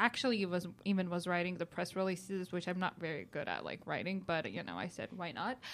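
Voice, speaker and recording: A woman with a Georgian accent on a very clean recording with a silent background. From country of Georgia. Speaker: tech startup founder. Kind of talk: interview. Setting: studio.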